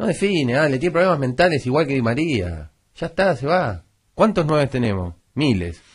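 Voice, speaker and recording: Over a quiet background, a man with a Rioplatense accent speaks at fairly high pitch with vocal fry and very wide pitch swings. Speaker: sports radio panelist. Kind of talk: heated debate. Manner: fast.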